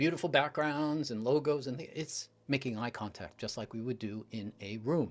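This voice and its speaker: A man is speaking. He has an ordinary speaking voice. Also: very clean recording, silent background. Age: 60s. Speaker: public speaking coach. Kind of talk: interview.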